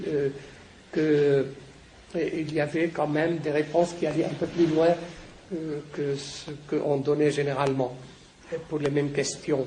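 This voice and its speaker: Delivered at a fairly slow pace in a monotone, flat intonation, the speech carries audible room echo and noticeable background noise. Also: man. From Lebanon. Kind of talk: lecture. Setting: conference with audience. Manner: halting.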